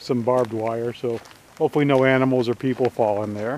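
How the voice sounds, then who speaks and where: Fairly quick pace from a man with ordinary pitch variation, a dry sound with no echo and light background noise. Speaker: gold prospecting vlogger. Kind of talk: casual vlog chat. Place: open country. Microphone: phone near.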